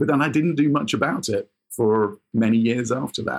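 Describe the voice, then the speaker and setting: A man with a normal speaking voice, ordinary pitch variation, and a moderate pace. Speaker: semi-retired sports industry executive and photographer. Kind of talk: coaching conversation.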